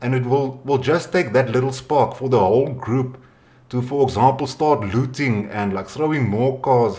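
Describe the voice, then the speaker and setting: With a South African accent, a man speaks at medium pitch in a somewhat breathy, dark and mellow tone, his intonation fairly even. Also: moderate pace. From South Africa, Western Cape. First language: Afrikaans. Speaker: podcast host. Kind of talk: casual interview.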